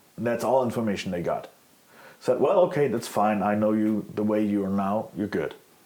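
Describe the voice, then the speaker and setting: A man with a German accent talks at a fairly quick pace and fairly low pitch, with ordinary pitch variation and noticeable background noise. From Germany. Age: 40s. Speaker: former extremist. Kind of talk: interview. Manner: halting.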